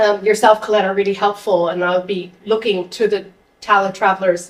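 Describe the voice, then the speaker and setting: Fairly quick in pace, the speaker has a plain, everyday voice with an American accent. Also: woman. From United States. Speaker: local councillor. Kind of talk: audience question at public talk.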